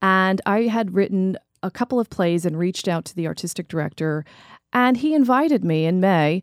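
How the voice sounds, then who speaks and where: In an unremarkable speaking voice, a woman with an American accent talks at a medium pitch and moderate pace with lively intonation, in a dry, close sound with no echo. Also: very clean recording, silent background. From New York and New Jersey. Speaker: playwright and educator. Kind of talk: interview.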